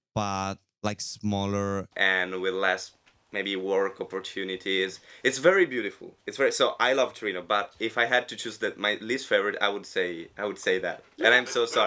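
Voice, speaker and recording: A man with an Italian accent, fairly low-pitched and bright, sharp in tone, at a moderate pace with fairly even intonation, on a very clean recording with a silent background. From Italy. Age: 20s. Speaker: radio host. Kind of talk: casual chat. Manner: halting.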